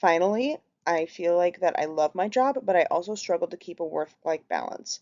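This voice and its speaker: A woman at a moderate pace with a Minnesotan accent. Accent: Minnesota. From Minnesota, US (Minneapolis). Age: 30s. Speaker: healthcare worker, group home coordinator. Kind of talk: class presentation.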